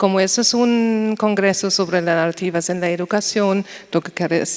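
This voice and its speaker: Through noticeable background noise, a woman of medium pitch speaks at a fairly slow pace with fairly even intonation. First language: German (speaking Spanish). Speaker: university researcher. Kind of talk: panel discussion. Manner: slightly halting.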